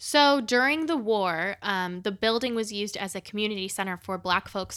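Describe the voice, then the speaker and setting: In a very clean recording with a silent background, a woman speaks in a bright, sharp tone with ordinary pitch variation. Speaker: podcast co-host. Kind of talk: casual chat. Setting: home recording. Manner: laughs often.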